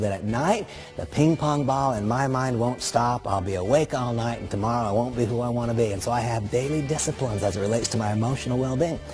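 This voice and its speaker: Very fast speech from a man at medium pitch with ordinary pitch variation, against noticeable background noise. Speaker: network marketing speaker. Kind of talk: motivational talk.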